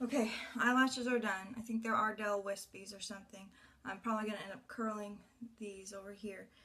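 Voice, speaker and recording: The speech is fairly quick and flat, delivered in a monotone against noticeable background noise. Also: woman, fairly high pitch for a woman, big swings in loudness. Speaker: beauty vlogger. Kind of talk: makeup tutorial.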